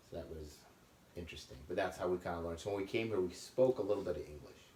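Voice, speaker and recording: A man with a very deep, low pitch and a dark, mellow tone speaks very fast, sounding somewhat breathy. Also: ordinary pitch variation. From Netherlands, moved to US at about nine. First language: Dutch. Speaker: immigrant interviewee. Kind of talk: casual interview.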